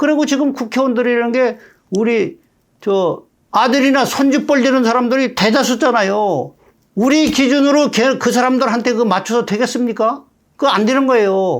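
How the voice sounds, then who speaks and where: Here a man speaks at an extremely high pitch and moderate pace, recorded very cleanly against a silent background. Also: ordinary pitch variation, very even loudness. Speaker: war veteran. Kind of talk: monologue. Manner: conversational.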